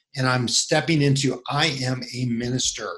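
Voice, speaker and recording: A somewhat breathy man with a fairly high pitch, speaking at a fairly slow pace. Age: 50s. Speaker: men's ministry coach. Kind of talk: casual interview.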